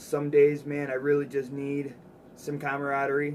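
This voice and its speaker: Over noticeable background noise, a man with an American accent and a fairly high pitch speaks at a moderate pace with monotone, flat intonation. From Chicago, US Midwest. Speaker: live streamer. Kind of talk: casual chat. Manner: relaxed, halting.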